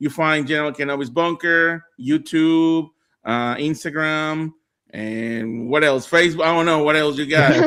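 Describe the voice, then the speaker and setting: A man with a Spanish accent speaks at a moderate pace in a bright, sharp tone. His fairly high pitch varies in an ordinary way, in a very clean recording with a silent background. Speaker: Spanish-language Star Wars live streamer. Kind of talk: casual chat. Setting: live stream. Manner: halting.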